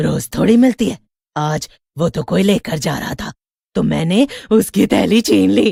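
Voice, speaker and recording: Putting on a raspy character voice, a woman speaks at a fairly low pitch and a moderate pace. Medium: read story. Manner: blunt, greedy, cackling.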